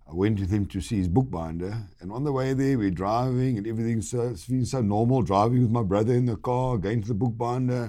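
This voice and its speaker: This man has a South African accent and a dark, mellow tone at medium pitch. He talks at a fairly quick pace with lively intonation. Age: 60s. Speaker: guest; wooden flooring businessman and biker. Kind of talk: casual interview chat.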